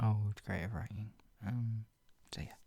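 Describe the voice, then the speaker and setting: A man speaks at a fairly slow pace and a fairly low pitch. His tone is dark and mellow, and somewhat breathy. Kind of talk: casual chat to camera between readings. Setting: ASMR reading video, soft spoken.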